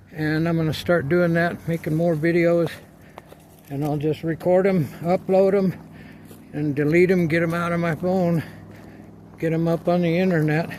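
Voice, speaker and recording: A quiet, calm voice at a moderate pace, flat and monotone in intonation, with long, frequent pauses. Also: man, high pitch for a man. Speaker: video blogger. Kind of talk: casual vlog while playing disc golf outdoors. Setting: outdoors.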